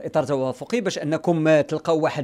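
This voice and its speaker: Against a quiet background, a man speaks at a fairly high pitch. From Morocco. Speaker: radio host. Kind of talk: live radio interview. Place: studio. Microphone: studio mic.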